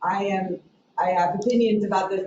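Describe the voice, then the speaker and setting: The pace is fairly slow. The intonation stays fairly even. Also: woman. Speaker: advisory council member. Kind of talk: public meeting discussion. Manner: loud; halting.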